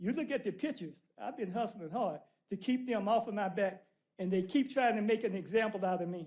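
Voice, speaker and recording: With an American accent, a man talks at a fairly quick pace, his high pitch showing ordinary variation. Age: 70s. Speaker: citizen speaking at public comment. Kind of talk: public comment. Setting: city council meeting. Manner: animated.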